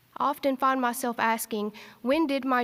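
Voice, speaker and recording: A woman with a strong Eastern Kentucky accent and a high pitch, on a very clean recording with a silent background. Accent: thick Eastern Kentucky. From Eastern Kentucky, Appalachia. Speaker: graduating student speaker. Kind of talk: commencement speech. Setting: stage with audience in arts center.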